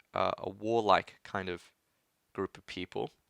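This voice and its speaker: A man speaks with an Australian accent in a fairly low pitch. The recording is very clean with a silent background, and the sound is dry and close with no echo. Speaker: tech YouTuber. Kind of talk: livestream Q&A chat. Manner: casual with many fillers.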